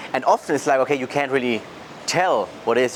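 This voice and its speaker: Someone with a German accent speaks very fast over noticeable background noise. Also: man. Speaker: sales coach vlogger. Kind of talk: casual vlog monologue.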